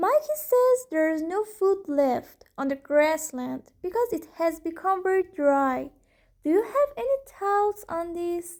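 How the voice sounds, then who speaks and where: A female-sounding voice is pitched extremely high in a put-on character voice. The pace is fairly slow. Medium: read story.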